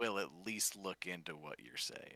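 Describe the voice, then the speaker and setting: Using a put-on character voice, a man speaks with fairly low pitch and lively intonation. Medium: actual play.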